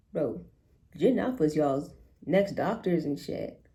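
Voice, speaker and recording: A woman with an American accent talks at a very slow pace with vocal fry. Her pitch swings very widely. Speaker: college student vlogger. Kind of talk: casual vlog monologue. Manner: rambling, filler-heavy.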